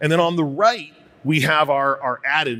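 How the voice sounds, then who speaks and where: Bright and sharp in tone, a man talks in a fairly high pitch with ordinary pitch variation. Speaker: company CEO presenting product demo. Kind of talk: conference product presentation. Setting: stage with audience. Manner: fast.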